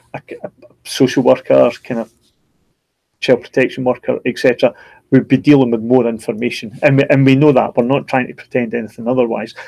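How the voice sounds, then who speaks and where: A man's dark, mellow voice at medium pitch, in a Scottish accent, monotone and flat, broken by long, frequent pauses, with a dry, close sound and no echo. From Scotland. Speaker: online course educator. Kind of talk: live stream discussion. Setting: video live stream. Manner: halting, many repetitions.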